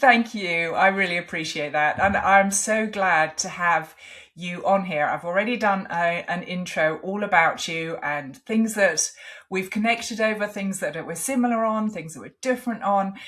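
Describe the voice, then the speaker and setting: Speaking at a moderate pace with an English accent, a woman of medium pitch shows big swings in loudness. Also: ordinary pitch variation. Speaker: podcast host. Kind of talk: interview.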